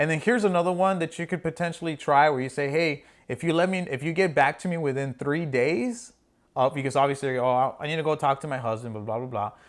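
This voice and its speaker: A man's fairly high, animated voice at a very fast pace, with ordinary pitch variation, on a very clean recording with a silent background. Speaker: marketing podcast host. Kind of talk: casual podcast discussion.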